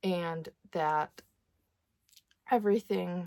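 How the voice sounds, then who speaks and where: A woman's voice, dry and close with no echo. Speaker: vlogger. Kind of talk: casual chat. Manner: hesitant, many fillers; soft-spoken.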